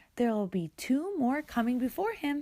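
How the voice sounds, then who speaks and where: A woman puts on a high-pitched character voice at a moderate pace. Her pitch swings very widely. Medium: read story. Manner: curt, grumbling.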